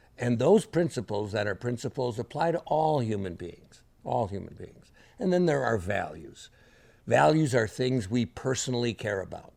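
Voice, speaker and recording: A man talks at a moderate pace and medium pitch, with vocal fry. His pitch makes very wide swings. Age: 70s. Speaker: leadership speaker. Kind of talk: lecture.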